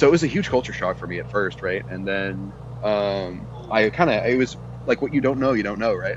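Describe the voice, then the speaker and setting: A man with an American accent speaks at a fairly quick pace, his pitch fairly low with very wide swings. There is noticeable background noise. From Texas. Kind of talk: casual chat.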